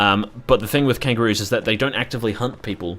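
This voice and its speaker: With an Australian accent, a man talks at a very fast pace with lively intonation. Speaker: gaming streamer. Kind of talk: casual live stream chat. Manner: animated.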